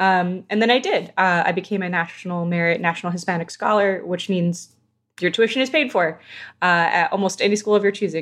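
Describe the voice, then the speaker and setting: At a fairly quick pace and medium pitch, a woman with an American accent speaks in an unremarkable speaking voice, with ordinary pitch variation against a quiet background. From Southern California. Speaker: video game narrative director. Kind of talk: casual interview.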